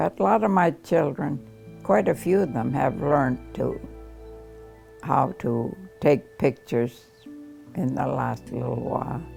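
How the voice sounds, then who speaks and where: With music playing in the background, a woman talks with long, frequent pauses. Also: fairly slow pace. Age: 80s+. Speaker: photographer. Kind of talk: interview answer.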